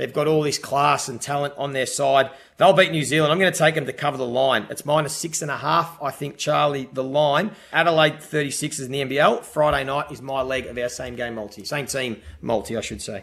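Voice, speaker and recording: Talking at a fairly quick pace with hardly any pauses, a man uses a fairly high pitch and ordinary pitch variation. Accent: Australian. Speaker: racing podcast host. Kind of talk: casual chat about horse racing tips.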